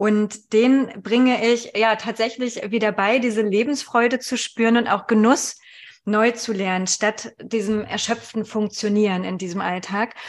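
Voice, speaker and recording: Speaking at a fairly slow pace, a woman with an unremarkable speaking voice keeps a fairly even intonation at a fairly high pitch. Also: quiet background. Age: 40s. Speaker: human design coach, mother of two. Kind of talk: casual interview.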